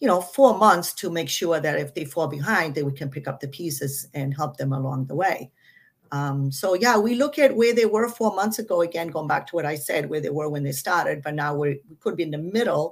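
Using an ordinary speaking voice, a woman with an American accent speaks at a fairly quick pace, with a fairly low pitch and lively intonation. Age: 60s. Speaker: martial arts school owner. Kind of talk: casual interview.

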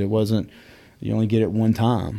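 Over a silent background on a very clean recording, a man with a Southern US accent and a dark, mellow tone speaks at a very fast pace. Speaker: whiskey shop owner and whiskey educator. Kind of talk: casual interview chat.

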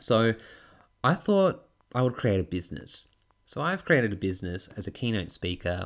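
On a very clean recording with a silent background, a man with an Australian accent talks at a moderate pace. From Tasmania, Australia. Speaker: podcast host and public speaking coach. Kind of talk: solo podcast monologue. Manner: animated.

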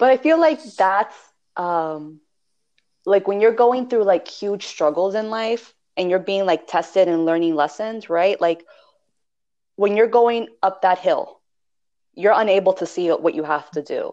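A woman talks at a fairly slow pace and medium pitch, with a dark, mellow tone. Her intonation is lively, broken by long, frequent pauses. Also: quiet background. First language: Spanish. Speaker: podcast co-host, spiritual practitioner. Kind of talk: casual chat.

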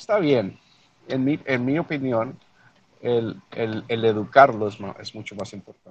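The speaker is a man. He talks at a fairly slow pace. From El Paso, Texas (born in Mexico). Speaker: newspaper owner, retired air force veteran. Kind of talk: interview. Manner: halting, repeats words.

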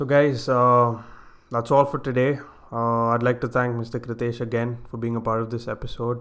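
A man talks at a medium pitch in a monotone with flat intonation. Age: 20s. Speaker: podcast host. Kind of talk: interview.

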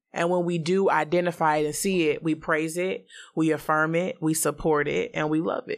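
Here is a woman with a normal speaking voice, fairly low in pitch and fairly even in intonation. She talks at a moderate pace in a very clean recording with a silent background. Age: 30s. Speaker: podcast guest. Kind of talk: casual chat.

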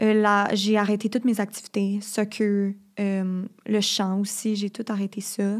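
A woman at a very slow pace, medium-pitched, with monotone, flat intonation. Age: 20s. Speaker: university student. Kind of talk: personal testimony.

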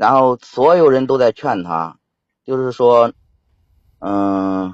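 Very slow speech from a man at medium pitch with ordinary pitch variation. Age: 30s. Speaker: caller. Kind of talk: phone-in call about a family problem. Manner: halting.

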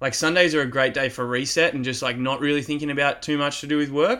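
On a very clean recording with a silent background, a man with an Australian accent speaks in a bright, sharp tone. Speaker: podcast host. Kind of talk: casual interview chat. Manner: energetic, enthusiastic.

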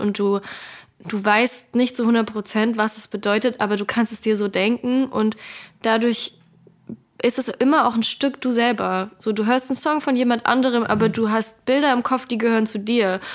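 With fairly even intonation, this woman keeps to a moderate pace. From Germany, northern Hesse. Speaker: singer and social media creator. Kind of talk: casual interview. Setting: remote call.

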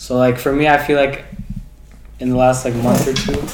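Amid noticeable background noise and audible room echo, a man with a Canadian accent speaks at medium pitch. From Waterloo, Ontario, Canada. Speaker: student. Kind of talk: casual chat. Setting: in-person podcast recording, shared recorder.

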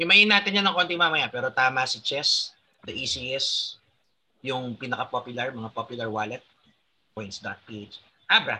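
Speaking at a fairly slow pace, a man shows very wide pitch swings and big swings in loudness. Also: medium pitch for a man. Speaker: crypto trader and podcast host. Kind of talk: casual podcast chat.

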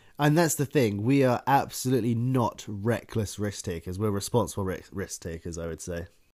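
A man with a British accent speaks at a fairly low pitch and a moderate pace, with lively intonation and hardly any pauses, on a very clean recording with a silent background. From Britain. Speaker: podcast co-host. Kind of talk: casual chat.

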